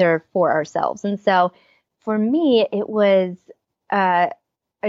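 Here is a woman with an American accent. She speaks at a medium pitch with ordinary pitch variation. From Pennsylvania, US. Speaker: author and speaker. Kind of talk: interview.

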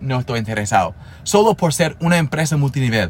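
Somewhat breathy, a man speaks at a medium pitch with a non-native accent. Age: 30s. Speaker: network marketer, podcast host. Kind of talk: motivational monologue. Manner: casual, conversational.

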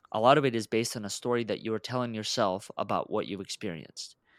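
A man at a very fast pace with ordinary pitch variation, the sound dry and close with no echo, on a very clean recording with a silent background. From Russia. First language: Russian. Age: 20s. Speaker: entrepreneur and founder.

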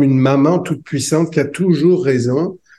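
At a fairly slow pace, a man with a fairly high pitch and a dark, mellow tone speaks with ordinary pitch variation. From France. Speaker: psychologist and author. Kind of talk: interview.

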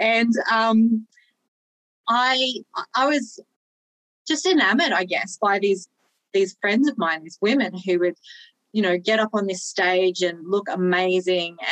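A woman's medium-pitched voice at a fairly slow pace with ordinary pitch variation, long, frequent pauses and a dry, close sound with no echo. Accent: Australian. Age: 40s. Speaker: online fitness coach and powerlifter. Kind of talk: casual interview chat.

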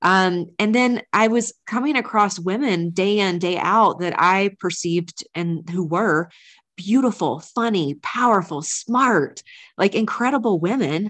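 Her tone is energetic, with a medium pitch and ordinary pitch variation. The woman keeps a fairly slow pace. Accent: American. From US South, North Carolina. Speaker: business coach. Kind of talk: interview.

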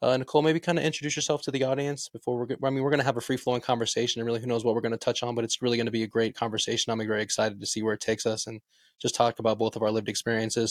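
Speaking very fast with an American accent, a man holds a medium pitch in a monotone, flat intonation. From Las Vegas, US. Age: 30s. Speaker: podcast host. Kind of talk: casual interview chat. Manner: hesitant, filler-heavy.

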